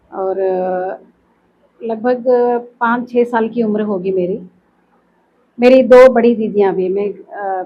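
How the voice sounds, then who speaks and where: The woman's voice sits at a fairly high pitch with ordinary pitch variation. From Karnataka, Belagavi. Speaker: classical vocalist. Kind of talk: interview. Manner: hesitant, with fillers.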